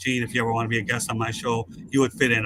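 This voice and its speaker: At a very fast pace, a medium-pitched man talks with fairly even intonation. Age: 60s. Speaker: sports media host. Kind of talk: casual chat.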